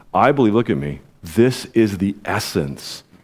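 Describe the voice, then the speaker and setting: A man with vocal fry speaks at a fairly low pitch with very wide pitch swings, in a very clean recording with a silent background. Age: 50s. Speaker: pastor. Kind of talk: sermon. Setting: church. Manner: animated.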